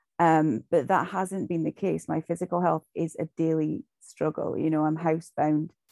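A woman with a Shetland accent, in a dry, close sound with no echo. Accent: Shetland Scottish. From Shetland, Scotland. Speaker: recovery group member. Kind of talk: sharing testimony. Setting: video call.

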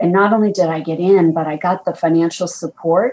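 With an American accent, a woman speaks at a fairly quick pace in an ordinary speaking voice, her pitch fairly low and her intonation fairly even. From US East Coast. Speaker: business executive. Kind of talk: interview.

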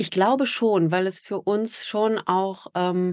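At a very slow pace, a woman speaks at medium pitch with ordinary pitch variation, the sound dry and close with no echo. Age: 40s. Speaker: podcaster and mother in a same-sex family. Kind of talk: interview.

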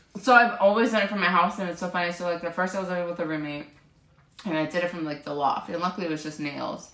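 Recorded with audible room echo and noticeable background noise, a woman speaks. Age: 20s. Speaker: beauty business owner. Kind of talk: casual chat. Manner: animated.

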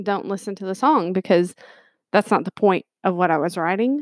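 A woman's unremarkable speaking voice with ordinary pitch variation. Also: dry, close sound with no echo. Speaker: podcast co-host. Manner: informal, jokey.

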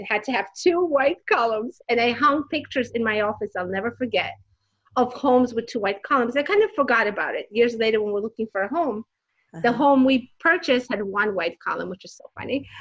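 A woman with a high pitch speaks at a fairly quick pace, her intonation lively and her loudness swinging widely. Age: 40s. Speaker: designer and inspirational speaker. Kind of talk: interview.

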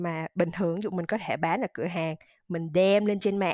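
A normal speaking voice with a quiet background and a dry, close sound that has no echo. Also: woman. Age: 30s. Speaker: digital marketing manager. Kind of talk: interview.

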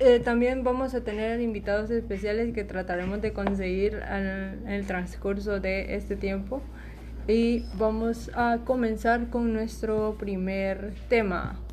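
A woman speaking at a very slow pace, amid noticeable background noise and audible room echo. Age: 20s. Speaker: podcast host. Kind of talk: casual chat. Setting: at home during quarantine.

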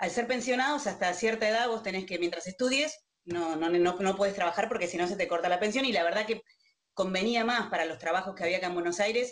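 This woman speaks very quickly. Her pitch shifts in an ordinary manner. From Argentina, Río Gallegos, Santa Cruz (Patagonia). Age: 50s. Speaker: contact center executive. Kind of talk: interview.

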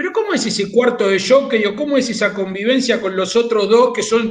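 A man with a Rioplatense accent, high in pitch, amid audible room echo. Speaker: horse racing radio host. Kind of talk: radio talk show.

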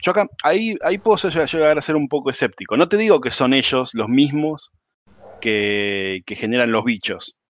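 A man speaks at a moderate pace in a fairly high voice with very wide pitch swings. The sound is dry and close, with no echo. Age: 40s. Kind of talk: casual chat.

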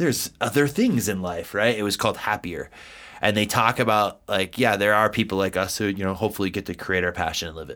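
Over a silent background in a very clean recording, a man with an American accent talks at a very fast pace, his fairly low voice bright and sharp in tone with ordinary pitch variation. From US East Coast. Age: 40s. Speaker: podcast co-host, entrepreneur. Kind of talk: casual podcast chat.

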